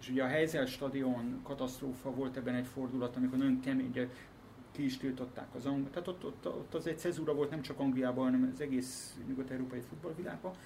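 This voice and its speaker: A man's medium-pitched voice, very fast and fairly even in intonation, with audible room echo and noticeable background noise. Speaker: politician and football commentator. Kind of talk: casual chat.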